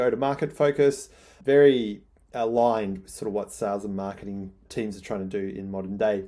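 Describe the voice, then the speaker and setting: In an Australian accent, a man with a fairly low pitch and ordinary pitch variation speaks at a very fast pace on a very clean recording with a silent background. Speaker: newsletter writer. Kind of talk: casual vlog talk. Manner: excitable.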